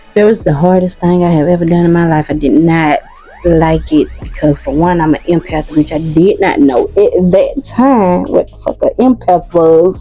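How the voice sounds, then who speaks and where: A woman talks at a moderate pace in an animated tone, with music playing in the background. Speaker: vlogger and mother. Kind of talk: personal storytelling vlog. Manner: casual, animated.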